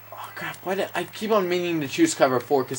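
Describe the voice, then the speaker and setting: A man talks at a moderate pace with lively intonation as noticeable background noise carries on. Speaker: gaming commentator. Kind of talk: gameplay commentary. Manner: self-described awkward delivery.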